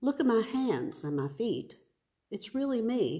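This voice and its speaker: In a quiet setting, a woman's voice rises and falls in very wide pitch swings. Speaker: pastor or worship leader. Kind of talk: scripture reading. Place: church. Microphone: phone near.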